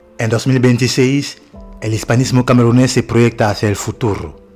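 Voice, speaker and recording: Music fills the background as a man talks at a fairly slow pace. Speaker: documentary narrator (voice-over). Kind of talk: documentary voice-over narration.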